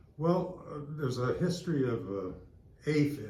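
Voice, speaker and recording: A man talks at a fairly slow pace with ordinary pitch variation. Audible room echo is present. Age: 80s+. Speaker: recreation center member. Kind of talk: interview. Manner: halting, many fillers and repeats.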